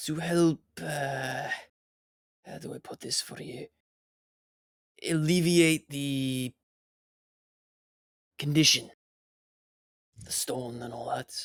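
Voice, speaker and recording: A gruff, put-on character voice at a low-to-middle pitch. It moves at a very slow pace with long, frequent pauses. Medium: actual play. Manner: gruff, curt.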